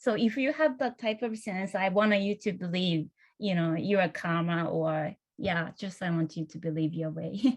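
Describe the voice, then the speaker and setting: Somewhat breathy and medium in pitch, a woman speaks at a moderate pace with lively intonation. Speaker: career changer into design. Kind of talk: panel discussion. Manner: halting.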